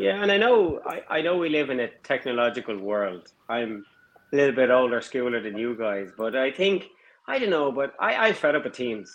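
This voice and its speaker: A man speaks at a moderate pace in an Irish accent. His pitch is medium and his intonation lively. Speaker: engineering firm owner. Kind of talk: casual chat.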